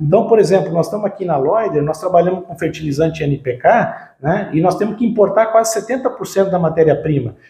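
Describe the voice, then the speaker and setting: With lively intonation, a man talks at a high pitch and a fairly quick pace. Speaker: agribusiness marketing and R&D director. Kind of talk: interview. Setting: on-site visit at company headquarters.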